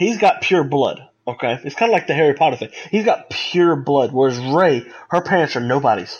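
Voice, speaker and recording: Lively in intonation and fairly high in pitch, a man with an American accent and an unremarkable speaking voice talks at a moderate pace with hardly any pauses. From United States. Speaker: podcast co-host. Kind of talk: casual chat.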